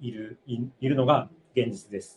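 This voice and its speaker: A man is speaking. His voice is somewhat breathy. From Japan, Aichi. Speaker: doctoral student. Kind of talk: testimony. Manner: halting.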